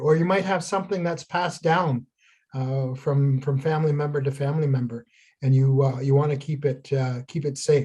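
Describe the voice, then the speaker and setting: Against a quiet background, a man with a dark, mellow, somewhat breathy tone talks at a fairly quick pace with fairly even intonation. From Ontario First Nation, Canada. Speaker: traditional healer, craft teacher. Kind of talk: tutorial. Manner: halting, many fillers.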